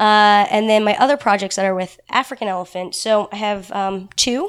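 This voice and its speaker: This woman has an unremarkable speaking voice, medium in pitch, delivered at a moderate pace. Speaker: elephant researcher. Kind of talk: casual interview chat.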